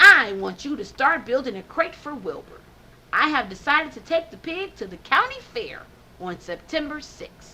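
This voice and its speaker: Using a put-on character voice, a woman talks at a moderate pace in a high pitch that makes very wide swings. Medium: read story.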